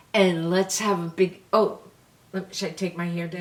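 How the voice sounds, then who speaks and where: A woman speaks fairly slowly in a New York accent. Her pitch sits in the medium range, and her intonation stays fairly even. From New York City. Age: 70s. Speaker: beauty vlogger. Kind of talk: casual chat.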